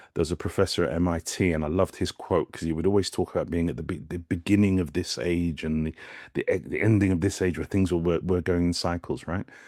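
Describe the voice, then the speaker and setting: A man with a very deep, low pitch and fairly even intonation at a fairly quick pace, dry and close with no echo, on a very clean recording with a silent background. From West Indies. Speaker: brand strategist. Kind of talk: community Q&A talk. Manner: halting, with false starts.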